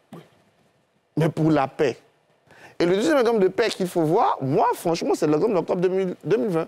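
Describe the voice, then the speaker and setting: A dark, mellow tone with lively intonation and very even loudness moves at a moderate pace with long, frequent pauses. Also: man, high pitch for a man. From Côte d'Ivoire. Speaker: historian and political analyst; political analyst. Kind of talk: TV panel discussion. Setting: TV studio. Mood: somber, reflective. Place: studio. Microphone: lapel.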